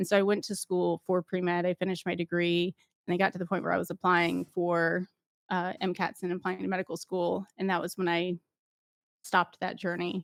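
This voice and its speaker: With a dry, close sound and no echo, a woman talks at a fairly quick pace in a fairly low pitch. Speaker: former paramedic turned 3D printing content creator. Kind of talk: interview conversation. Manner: loud; fast, animated.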